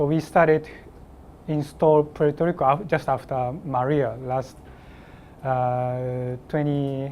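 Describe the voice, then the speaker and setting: A man with a Japanese accent at a very slow pace, with long, frequent pauses and fairly even intonation. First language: Japanese (speaking Spanish). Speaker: application engineer, trainer. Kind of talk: technical training presentation. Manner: halting, hesitant.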